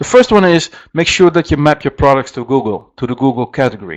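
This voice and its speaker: A man with a Dutch accent speaks at a fairly high pitch. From Netherlands. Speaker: software company presenter. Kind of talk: webinar presentation. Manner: halting, many fillers.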